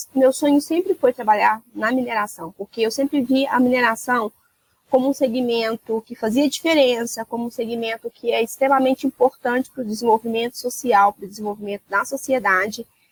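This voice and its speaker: In a Minas Gerais accent, a woman talks at a moderate pace with a high pitch and ordinary pitch variation, recorded dry and close with no echo. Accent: Minas Gerais (mineiro) accent, noticeable. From Minas Gerais, Brazil (Rio Acima, near Belo Horizonte). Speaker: mining compliance executive. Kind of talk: interview.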